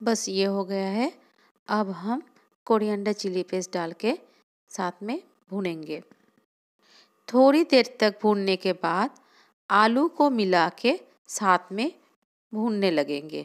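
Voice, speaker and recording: A woman's medium-pitched voice with a non-native accent and lively intonation, long, frequent pauses and a very clean recording with a silent background. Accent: non-native Hindi. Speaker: home cook food vlogger. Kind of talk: cooking tutorial voice-over.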